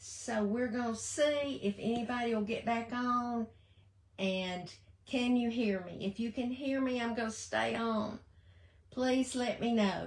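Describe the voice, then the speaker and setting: A woman's fairly high, warm voice, very slow pace and fairly even intonation. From Southern US. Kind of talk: casual livestream talk to viewers. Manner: warm, chatty.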